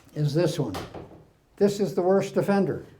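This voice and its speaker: A man is speaking. His tone is dark and mellow. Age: 80s+. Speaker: carpentry instructor. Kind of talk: workshop talk. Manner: conversational, informal.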